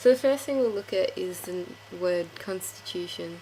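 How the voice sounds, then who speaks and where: Against noticeable background noise, a woman speaks at a moderate pace and a medium pitch. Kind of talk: casual game tutorial talk.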